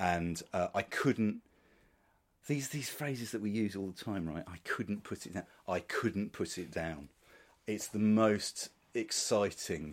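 On a very clean recording with a silent background, a man with a fairly low voice and ordinary pitch variation speaks at a fairly slow pace. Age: 50s. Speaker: author and podcaster. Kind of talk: interview. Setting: sitting room at home. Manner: halting.

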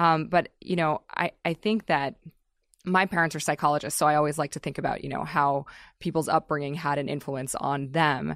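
Very deep and low in pitch, the woman talks at a moderate pace. The sound is dry and close with no echo, in a very clean recording with a silent background. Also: fairly even intonation. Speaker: podcast host. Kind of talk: interview.

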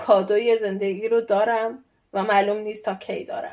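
Delivered at a moderate pace over a quiet background, a normal speaking voice carries fairly even intonation. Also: woman. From Iran. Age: 30s. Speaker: PhD student. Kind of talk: interview.

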